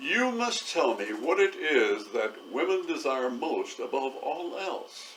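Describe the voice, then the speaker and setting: A man puts on a booming character voice. He goes at a fairly slow pace with hardly any pauses. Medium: read story. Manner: menacing.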